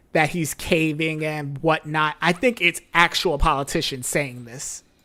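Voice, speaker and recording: A woman with an American accent, a very deep, low pitch and a fairly slow pace, on a very clean recording with a silent background. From United States. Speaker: livestream reaction host. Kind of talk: live reaction commentary. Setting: livestream.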